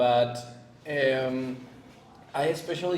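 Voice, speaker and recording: A man's voice with a non-native accent and ordinary pitch variation, in audible room echo with noticeable background noise. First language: not English. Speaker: spiritual content creator. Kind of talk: podcast interview. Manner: halting, many fillers and repeats.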